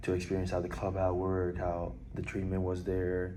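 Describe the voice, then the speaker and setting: In a room with audible echo, a man with a very deep, low pitch and a dark, mellow tone talks at a moderate pace. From Puerto Rico, then Orlando, Florida from age 11. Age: 20s. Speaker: college baseball player. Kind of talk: interview. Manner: hesitant, many fillers.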